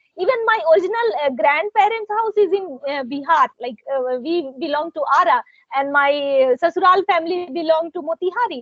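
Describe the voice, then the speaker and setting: A woman's extremely high-pitched voice with an Indian accent, lively intonation, and a fairly quick pace. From India, Jharkhand. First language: Hindi or Bhojpuri. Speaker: translator and content creator. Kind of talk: casual chat.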